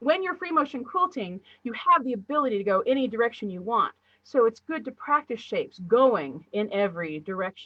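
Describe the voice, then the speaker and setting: At a fairly quick pace, a woman speaks at a fairly high pitch with very wide pitch swings. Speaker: quilting teacher. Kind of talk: live-stream tutorial. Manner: fast.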